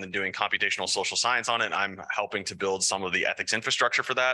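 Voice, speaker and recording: The tone is bright and sharp, with fairly even intonation. The sound is dry and close, without any echo. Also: man. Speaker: philosophy professor. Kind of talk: research talk. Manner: fast.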